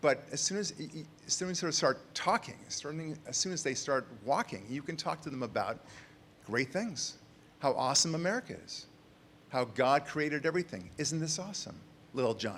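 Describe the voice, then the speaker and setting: Lively intonation and vocal fry mark a man's fairly quick speech. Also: fairly high pitch for a man. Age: 60s. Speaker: author. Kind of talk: conference speech.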